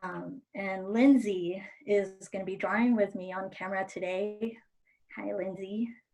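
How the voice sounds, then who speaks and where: The voice has a dark, mellow tone and fairly even intonation, with big swings in loudness. It moves at a fairly slow pace. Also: woman, medium pitch for a woman. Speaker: art instructor. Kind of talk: tutorial. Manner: voice starts loud then gets softer.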